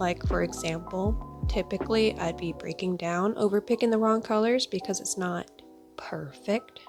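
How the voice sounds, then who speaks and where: Background music can be heard. The speaking pace is moderate. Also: woman. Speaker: artist and stay-at-home mom. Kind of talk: art review voiceover. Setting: close-mic voiceover.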